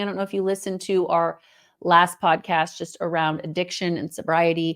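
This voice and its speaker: At a moderate pace, a woman with a normal speaking voice and a fairly low pitch comes through in a very clean recording with a silent background. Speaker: podcast co-host. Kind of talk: casual chat.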